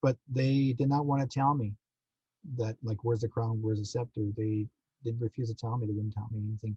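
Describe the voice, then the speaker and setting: A man with a Canadian accent speaks at a medium pitch and a fairly quick pace in a dark, mellow, somewhat breathy tone with fairly even intonation, in a dry, close sound with no echo. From Manitoba, Canada. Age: 60s. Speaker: psychic medium and contactee. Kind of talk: podcast interview.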